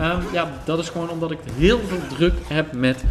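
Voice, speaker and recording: The voice belongs to a man. Behind him, background noise is noticeable. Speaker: gaming YouTuber. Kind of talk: gameplay commentary. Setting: separate room at home. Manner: casual, hesitant with fillers. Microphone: possible echo or odd sound.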